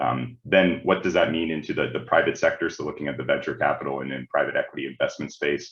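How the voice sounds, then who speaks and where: A man speaks fairly quickly. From Canada, Ontario. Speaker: management consultant. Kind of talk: webinar presentation. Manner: halting, many repeated words and fillers.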